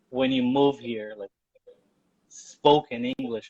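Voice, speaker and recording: With a Portuguese accent, a man speaks at a moderate pace with fairly even intonation, in a dry, close sound with no echo. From Brazil. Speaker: journalist. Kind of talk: live interview.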